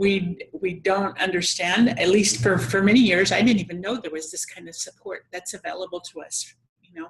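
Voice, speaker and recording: This woman has a plain, everyday voice, medium in pitch with ordinary pitch variation. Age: 60s. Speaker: interview host. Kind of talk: interview.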